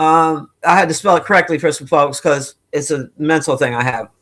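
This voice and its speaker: A woman speaks loudly at a moderate pace. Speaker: live streamer commentator. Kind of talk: casual live-stream rant. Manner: animated.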